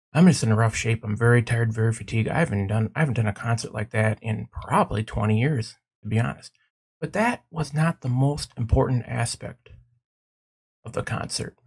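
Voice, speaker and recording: Somewhat breathy, a man's voice moves at a fairly quick pace. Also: medium pitch for a man, ordinary pitch variation. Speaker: gaming youtuber. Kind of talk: casual vlog. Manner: animated.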